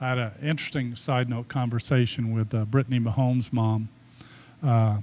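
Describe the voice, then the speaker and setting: Speaking at a moderate pace, a man uses fairly even intonation at a medium pitch with a dark, mellow tone. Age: 70s. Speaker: sports photographer. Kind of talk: podcast interview.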